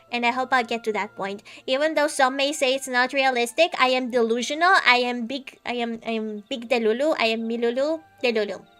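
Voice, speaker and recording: Over noticeable background noise, a woman talks at a fairly quick pace. Her voice is high, with ordinary pitch variation. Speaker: VTuber streamer. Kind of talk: casual chat while gaming stream. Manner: halting, many fillers and repeats.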